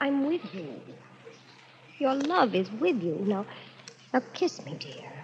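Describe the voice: A woman puts on a character voice, pitched high with big swings up and down. She goes at a slow pace with a slightly mellow tone.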